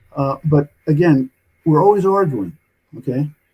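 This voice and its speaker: A man with a New York accent and a dark, mellow, somewhat breathy tone, at a moderate pace with ordinary pitch variation. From New York City (Brooklyn). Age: 70s. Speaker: author and physician. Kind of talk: interview storytelling. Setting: remote call. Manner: halting, many fillers.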